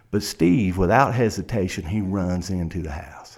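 At a moderate pace, a man with an American accent delivers a dramatic tone in a very deep, low pitch with ordinary pitch variation. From South Carolina. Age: 50s. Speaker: criminal defense lawyer. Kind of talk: courtroom oratory: a story told as if to a judge at sentencing. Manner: vivid, dramatic storyteller, building suspense with repetition.

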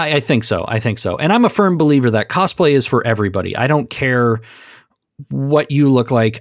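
A man with an American accent speaks in an ordinary speaking voice at a moderate pace with ordinary pitch variation, on a very clean recording with a silent background. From Minnesota. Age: 30s. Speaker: cosplayer and comics fan. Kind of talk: casual chat.

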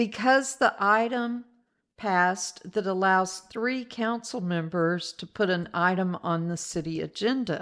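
An unremarkable speaking voice from a woman, medium-pitched, at a fairly slow pace with ordinary pitch variation and a quiet background. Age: 60s. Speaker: podcast host. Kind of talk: casual chat.

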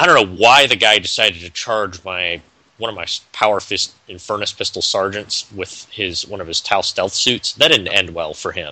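In an ordinary speaking voice, a man talks at a moderate pace and fairly low pitch, with ordinary pitch variation and big swings in loudness. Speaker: podcast co-host. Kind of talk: casual chat.

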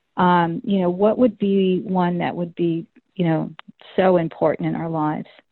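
A normal speaking voice, a woman's, fairly low in pitch with an American accent, fairly even intonation and a moderate pace. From Florida. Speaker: podcast host. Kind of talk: casual interview chat. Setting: phone call.

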